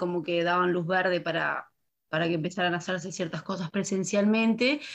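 A woman's normal speaking voice, medium in pitch, with fairly even intonation. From Canelones, Uruguay. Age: 20s. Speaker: university student. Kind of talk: casual chat.

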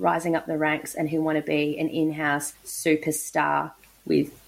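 A woman talks at a fairly slow pace, captured in a very clean recording over a silent background. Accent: Australian. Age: 30s. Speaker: podcast host and lawyer. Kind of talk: interview.

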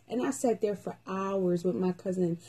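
Speaking at a moderate pace, a woman has a medium pitch and a somewhat breathy, dark, mellow tone. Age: 20s. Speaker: podcast host. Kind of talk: casual chat.

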